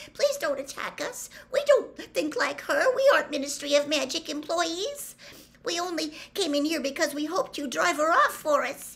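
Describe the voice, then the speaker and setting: A female-sounding voice in a put-on character voice hits an extremely high pitch at a moderate pace. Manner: pleading, anxious.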